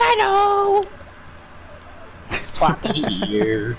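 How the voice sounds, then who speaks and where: A put-on character voice sounds over clear background noise. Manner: narration voice.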